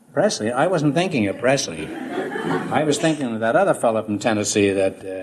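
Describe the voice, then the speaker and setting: A man at a medium pitch talks at a fairly quick pace with very wide pitch swings, and there is noticeable background noise. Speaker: quiz show host. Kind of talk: classic radio quiz show banter with contestants. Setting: old radio broadcast recording.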